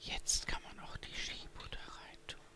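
The speaker is whispering and soft-spoken at a fairly slow pace. Noticeable background noise is present. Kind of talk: tutorial. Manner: soft whispered ASMR narration. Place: kitchen.

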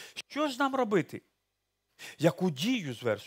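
Against a quiet background, a man talks. His pitch swings very widely. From Ukraine. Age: 60s. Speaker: pastor. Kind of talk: sermon. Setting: church. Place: church. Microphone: headset.

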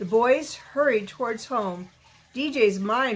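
Someone reads a text aloud. They do it in a natural voice.

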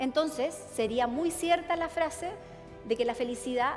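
A woman talks at a fairly slow pace while clear music sounds in the background. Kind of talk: lecture. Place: stage. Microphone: headset.

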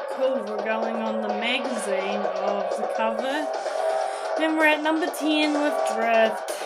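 Fairly slow speech under loud background noise. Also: woman. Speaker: gamer vlogger. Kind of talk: casual gameplay commentary. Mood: pleased. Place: home room. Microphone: phone near.

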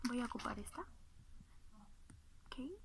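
Noticeable background noise sits under this woman's speech. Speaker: ASMR creator. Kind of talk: ASMR roleplay, makeup application. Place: home room. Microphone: phone near.

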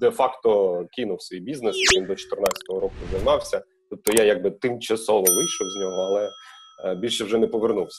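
Moderate-paced speech from a man, with noticeable noise in the background. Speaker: guest. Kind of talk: interview answer. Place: home room. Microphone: earbuds.

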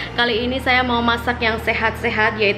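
Music plays behind a woman as she talks. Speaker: family vlogger. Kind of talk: casual vlog chat. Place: home room. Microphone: phone near.

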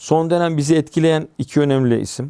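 A man with a dark, mellow tone talks at a moderate pace over a quiet background. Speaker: religious culture commentator; guest. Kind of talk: interview conversation. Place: studio. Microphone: lapel.

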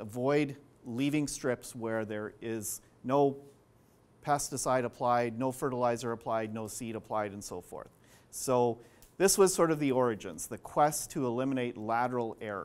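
A man with a Canadian accent at a moderate pace, ordinary pitch variation and big swings in loudness. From Western Canada. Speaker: professor. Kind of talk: lecture. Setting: stage with audience. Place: classroom.

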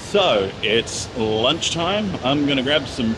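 A man talks very slowly while noticeable background noise plays behind him. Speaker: travel vlogger. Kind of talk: casual vlog chat. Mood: relaxed, upbeat. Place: station. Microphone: phone near.

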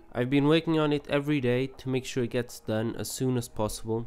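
A man speaks at moderate speed with music in the background. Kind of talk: casual vlog update narration.

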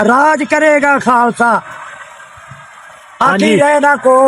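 A man with a Pakistani accent speaks at an extremely high pitch with ordinary pitch variation and very even loudness, over noticeable background noise. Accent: Pakistani Punjabi. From Sialkot, Punjab, Pakistan. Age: 80s+. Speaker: elderly villager, former farmer. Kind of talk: interview answer. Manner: confident.

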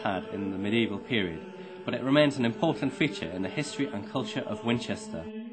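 Music plays in the background as a man speaks at a very fast pace. His medium pitch swings very widely. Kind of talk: scripted narration, read aloud.

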